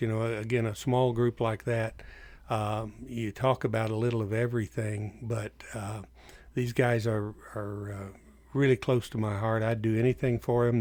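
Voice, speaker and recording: Recorded very cleanly against a silent background, a man speaks at a moderate pace in a flat, monotone delivery. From North Dakota. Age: 70s. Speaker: entomologist and lay pastor. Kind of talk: casual interview. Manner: halting, many fillers.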